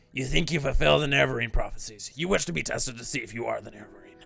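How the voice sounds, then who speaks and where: Using a put-on character voice, a man rasps at a medium pitch and a very fast pace, his loudness swinging widely over faint background music. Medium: game stream.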